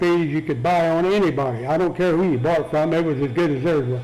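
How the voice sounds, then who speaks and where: A man with an American accent talks at a high pitch with ordinary pitch variation. Audible room echo and noticeable background noise surround him. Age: 80s+. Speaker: retired feed store manager. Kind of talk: oral history interview. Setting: care center interview room. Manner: halting.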